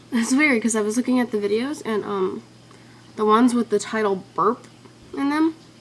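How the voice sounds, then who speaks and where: Over noticeable background noise, a woman with an American accent speaks at a moderate pace, with a fairly high pitch and ordinary pitch variation. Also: long, frequent pauses. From Ventura, California. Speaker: vlogger. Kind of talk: casual vlog. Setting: webcam. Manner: animated.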